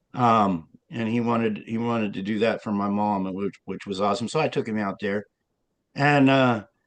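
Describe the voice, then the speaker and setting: The speaker is a man. Ordinary pitch variation runs through his speech. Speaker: interviewee claiming hidden identity. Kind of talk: interview. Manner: hesitant, many fillers.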